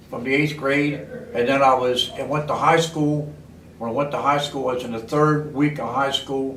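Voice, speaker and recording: Against noticeable background noise and audible room echo, a man with an American accent speaks in a fairly high voice at a moderate pace with fairly even intonation. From Baltimore, Maryland, US. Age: 80s+. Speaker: war veteran. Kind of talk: oral history interview.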